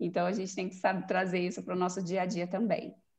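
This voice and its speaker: The speaker is a woman with a medium pitch. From Brasília, Brazil. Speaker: image consultant. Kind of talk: casual chat.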